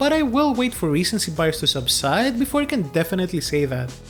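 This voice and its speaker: Music plays in the background as a man with a Greek accent speaks at a moderate pace. His high-pitched voice swings very widely in pitch. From Greece. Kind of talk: video game commentary.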